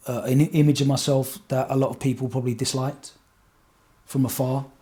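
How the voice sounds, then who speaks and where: A man in an Essex accent, medium-pitched, at a fairly quick pace. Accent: Essex accent, never changed. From Essex, England. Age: 40s. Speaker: radio DJ. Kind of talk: podcast interview. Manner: halting, many fillers and repeats.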